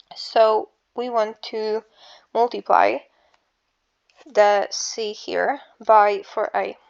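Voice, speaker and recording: A woman with an Eastern European accent at a very slow pace, broken by long, frequent pauses. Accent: Slavic. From Slavic country. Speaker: math tutor. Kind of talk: casual math tutorial. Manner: casual, hesitant.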